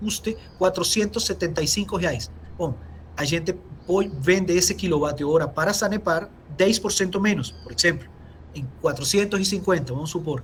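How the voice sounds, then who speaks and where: Moderately paced speech from a man with a high voice and ordinary pitch variation. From Venezuela. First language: Spanish (speaking Portuguese). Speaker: engineer, company technical director. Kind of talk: webinar Q&A answer.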